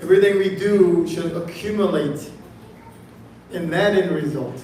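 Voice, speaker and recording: Amid noticeable background noise and audible room echo, a man with a high pitch speaks with long, frequent pauses. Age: 60s. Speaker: temple speaker. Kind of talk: sermon.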